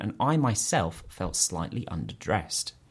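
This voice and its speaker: A man's voice with very wide pitch swings in a very clean recording with a silent background. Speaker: events industry podcast host. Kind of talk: casual chat.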